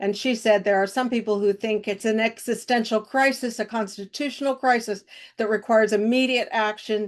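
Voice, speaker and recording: Against a quiet background, a woman with a Midwestern American accent speaks in a fairly high pitch with monotone, flat intonation. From Kansas, Harvey County. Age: 70s. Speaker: activist organizer. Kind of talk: podcast interview.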